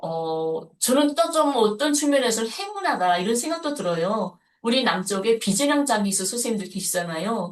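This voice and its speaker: The voice moves through very wide pitch swings at a moderate pace. There are hardly any pauses. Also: woman, fairly high pitch for a woman. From North Korea. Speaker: North Korean defector activist. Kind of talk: interview.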